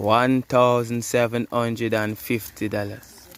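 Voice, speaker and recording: A man with a Jamaican accent speaks with fairly even intonation over noticeable background noise. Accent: Jamaican English with patois. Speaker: cooking vlogger. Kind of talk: casual vlog chat. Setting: outdoors.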